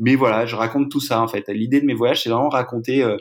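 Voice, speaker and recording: This man talks at a very fast pace with fairly even intonation. His pitch sits in the medium range. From Brittany, France. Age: 30s. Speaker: eco-adventurer. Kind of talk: interview. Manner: hesitant, many fillers.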